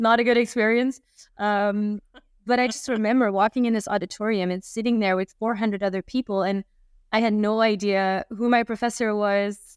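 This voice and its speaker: Monotone, flat intonation marks a woman with a Dutch accent. Her pitch is fairly high and her pace moderate. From Flanders, Belgium. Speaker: university marketing strategist. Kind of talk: casual interview conversation. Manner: hesitant, filler words.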